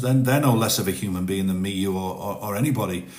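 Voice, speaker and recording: The speech moves at a fairly quick pace with lively intonation. Audible room echo surrounds it. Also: man. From northern England. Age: 50s. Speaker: TikTok live streamer, ex-forces. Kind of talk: casual live-stream chat. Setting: TikTok live stream. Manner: halting, repeats words.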